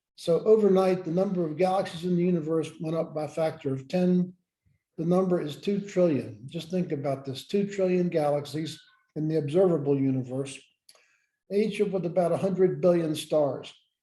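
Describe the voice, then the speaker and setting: A man's high voice with a dark, mellow tone and an American accent, with ordinary pitch variation and audible room echo. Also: moderate pace. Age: 70s. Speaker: former space scientist and leadership educator. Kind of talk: lecture.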